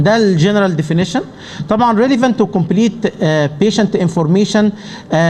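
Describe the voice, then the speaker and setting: Amid noticeable background noise, a man with an Arabic accent and high pitch speaks at a fairly quick pace, with ordinary pitch variation and very even loudness. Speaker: pulmonology professor. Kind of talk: conference lecture. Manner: halting.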